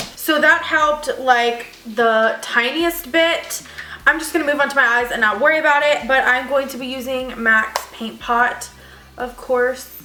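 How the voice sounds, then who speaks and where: With audible room echo and noticeable background noise, a woman speaks in a raised, projected voice at a fairly slow pace, her pitch high and her loudness swinging a lot. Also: ordinary pitch variation. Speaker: beauty vlogger. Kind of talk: casual makeup vlog.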